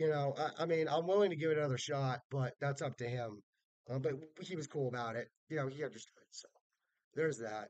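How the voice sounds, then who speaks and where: A loud man talks at a fairly quick pace, fairly high in pitch with ordinary pitch variation. The sound is dry and close, with no echo. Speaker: wrestling fan vlogger. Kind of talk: casual vlog review. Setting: hotel room. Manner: naturally loud.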